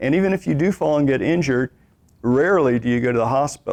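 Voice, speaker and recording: A man speaks fairly quickly in an unremarkable speaking voice, pitched fairly high. The sound is dry and close, with no echo. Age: 60s. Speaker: exercise instructor. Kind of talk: lecture. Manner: conversational.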